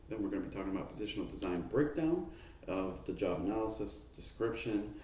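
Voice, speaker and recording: Very fast delivery with very wide pitch swings and audible room echo. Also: man. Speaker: student presenting a mock HR manager briefing. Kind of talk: mock business presentation.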